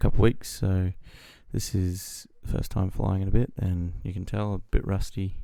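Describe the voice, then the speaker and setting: A man mumbles quietly in a very deep, low pitch, with a dark, mellow tone. He speaks with an Australian accent and fairly even intonation. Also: very clean recording, silent background. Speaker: flight sim gamer. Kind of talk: gameplay commentary. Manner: quiet, mumbled.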